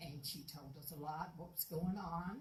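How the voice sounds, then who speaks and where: Woman's fairly low, somewhat breathy voice with a Southern US accent, ordinary pitch variation and a moderate pace, plus audible room echo. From US South, Florida Panhandle. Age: 80s+. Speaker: local resident. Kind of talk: public comment. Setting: city commission meeting.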